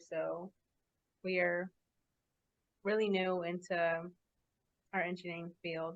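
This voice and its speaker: A woman speaks in a Californian accent at a medium pitch. The sound is dry and close, with no echo. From Los Angeles, California. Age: 20s. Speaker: podcast host, engineer. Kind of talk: casual chat. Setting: video call.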